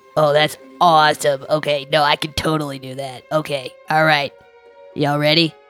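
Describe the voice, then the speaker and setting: A put-on character voice sits at a low-to-middle pitch with monotone, flat intonation. It moves at a moderate pace over faint music in the background. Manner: nervous, excitable, casual.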